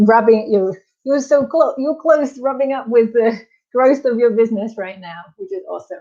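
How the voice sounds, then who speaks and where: A woman speaks in a high pitch with a dark, mellow tone, lively intonation and big swings in loudness. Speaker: business coach. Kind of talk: live Q&A webinar. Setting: live stream. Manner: fast; animated.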